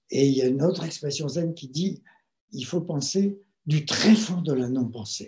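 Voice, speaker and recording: Lively intonation colors a man's voice, which carries a dark, mellow tone. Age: 70s. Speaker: meditation teacher and writer. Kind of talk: talk on meditation. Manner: hesitant, with fillers.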